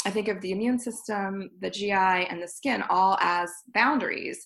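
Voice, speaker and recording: An ordinary speaking voice from a woman, medium in pitch, with ordinary pitch variation. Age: 40s. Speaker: naturopathic doctor and energy healer. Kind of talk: live online lecture with slides. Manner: slow, soothing, softly repetitive cadence (down, down, down); gentle, warm, unhurried.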